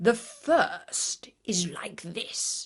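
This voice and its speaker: A woman whispers in a put-on character voice. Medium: read story. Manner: boastful, scornful.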